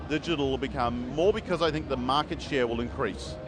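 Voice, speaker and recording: Man at medium pitch with a New Zealand accent. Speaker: comic book publisher and writer. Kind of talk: interview. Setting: convention floor. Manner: hesitant, many fillers.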